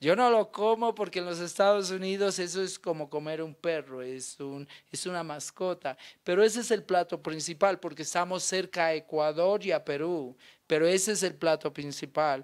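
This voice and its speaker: Against a quiet background, a man with a high-pitched voice speaks at a moderate pace. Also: ordinary pitch variation. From Colombia, Nariño. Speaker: actor. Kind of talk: interview. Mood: animated, storytelling. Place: studio. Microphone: handheld.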